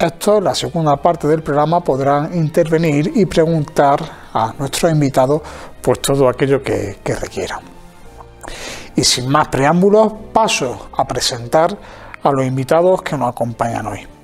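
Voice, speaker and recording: Faint music sits in the background as a man speaks at a fairly slow pace with ordinary pitch variation. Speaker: TV program host. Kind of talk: presenter introduction. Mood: warm, welcoming. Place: hall. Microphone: lapel.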